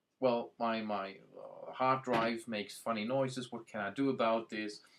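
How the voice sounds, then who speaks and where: The speaker is a man at a fairly slow pace. His intonation is fairly even. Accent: German. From Germany. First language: German. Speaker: IT and productivity consultant. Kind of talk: website introduction video. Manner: hesitant, with many fillers.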